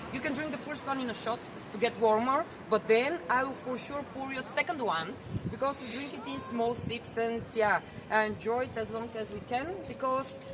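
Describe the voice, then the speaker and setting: Noticeable background noise runs under this recording. A woman speaks at a high pitch. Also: ordinary pitch variation, moderate pace. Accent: Bulgarian. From Bulgaria. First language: Bulgarian. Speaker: tour guide. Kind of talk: guided tour talk.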